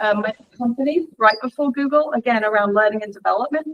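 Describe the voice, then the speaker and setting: This voice has an English accent. Its intonation stays fairly even. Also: woman. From England. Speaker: leadership training director. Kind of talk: guest talk in a university lecture.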